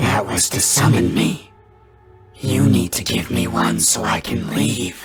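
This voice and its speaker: Over loud music in the background, a man growls in a put-on character voice with a very deep, low pitch. He speaks at a fairly slow pace with very wide pitch swings. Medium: read story. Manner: demanding, self-important.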